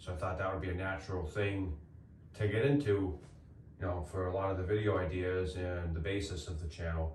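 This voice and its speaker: Fairly quick in pace and quiet, the voice keeps a fairly even intonation amid audible room echo. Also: man, very deep, low pitch for a man. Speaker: homestead YouTuber and builder. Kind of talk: casual reflective chat. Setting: inside a treehouse in the woods. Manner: loud. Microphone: echoey room.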